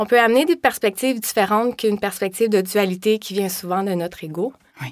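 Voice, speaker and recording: On a very clean recording with a silent background, a woman with a Quebec accent speaks at a moderate pace. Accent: Québécois French. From Quebec, Laurentians. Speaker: yoga teacher and massage therapist. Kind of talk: interview.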